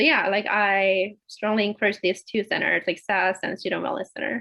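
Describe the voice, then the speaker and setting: A woman's medium-pitched voice at a moderate pace with ordinary pitch variation. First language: Korean. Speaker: PhD student panelist. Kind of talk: panel discussion.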